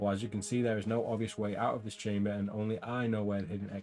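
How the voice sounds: A natural reading voice is what the recording offers.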